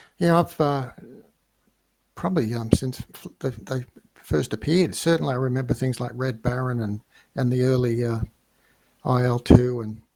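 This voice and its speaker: Speaking with a slight Australian accent, the voice has a dark, mellow tone and ordinary pitch variation. The pace is moderate, with long, frequent pauses. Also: man, medium pitch for a man. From Australia, Melbourne. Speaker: flight sim gamer, businessman. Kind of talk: casual interview. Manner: halting, hesitant.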